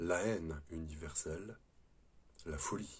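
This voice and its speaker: Very slow in pace, the delivery has a somewhat breathy quality. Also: man. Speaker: spiritual video host, former prison guard. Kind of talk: spiritual talk to camera. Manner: hesitant, with fillers and repetitions.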